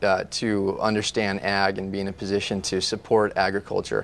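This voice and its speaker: The background is silent and the recording very clean. A man with an American accent speaks at a moderate pace. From US, Fresno, California. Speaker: congressional candidate and attorney. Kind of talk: TV interview. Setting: TV studio. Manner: many fillers, uh and um.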